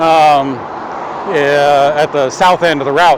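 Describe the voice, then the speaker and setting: This clip features a man speaking. Noticeable background noise can be heard. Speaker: bike shop employee / e-bike reviewer. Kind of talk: live ride-along vlog commentary. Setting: outdoors, riding a bike. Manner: hesitant, many fillers.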